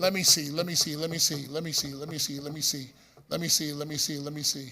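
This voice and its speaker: A man speaks in a raised, projected voice at a moderate pace. His tone is bright and sharp. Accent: Bronx. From New York City, the Bronx. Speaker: radio host. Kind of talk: conference speech. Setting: stage with audience.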